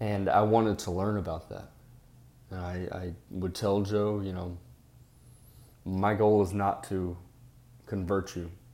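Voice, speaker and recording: This man has a fairly low pitch, a dark, mellow tone and monotone, flat intonation at a fairly slow pace. His speech has long, frequent pauses and big swings in loudness, with audible room echo. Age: 30s. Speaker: podcast host. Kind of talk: casual monologue.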